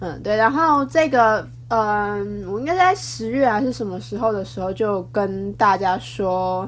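Hardly any pauses, with audible room echo. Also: woman, fairly slow pace. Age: 20s. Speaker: podcaster. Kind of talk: casual solo talk. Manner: halting, many fillers.

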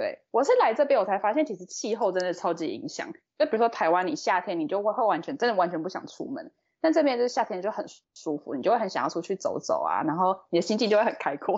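Her pitch leaps up and down very widely. The woman talks very fast. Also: fairly high pitch for a woman. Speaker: graduate student. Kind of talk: casual chat.

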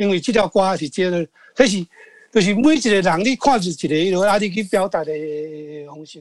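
Dry and close with no echo, this recording has a man speaking at a high pitch. His intonation is lively and his pace moderate. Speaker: songwriter. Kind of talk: interview. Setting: video call.

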